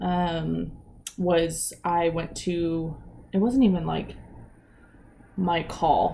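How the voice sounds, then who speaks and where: A woman talks at a very slow pace with long, frequent pauses, her fairly low pitch carrying a dark, mellow tone and fairly even intonation amid audible room echo. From Eastern Washington, US. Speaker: police officer. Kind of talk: casual interview.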